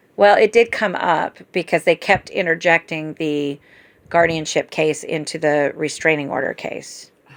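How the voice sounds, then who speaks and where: This woman has an unremarkable speaking voice, fairly low in pitch, and she talks at a fairly slow pace. The recording is very clean with a silent background and a dry, close sound with no echo. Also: ordinary pitch variation. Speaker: family caregiver. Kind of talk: casual chat.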